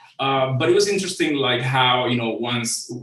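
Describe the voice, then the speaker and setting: Someone with a Cuban accent speaks at a fairly quick pace. The room echo is audible. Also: man. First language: Spanish. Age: 40s. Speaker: creative director. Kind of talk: conference talk. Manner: halting, many fillers.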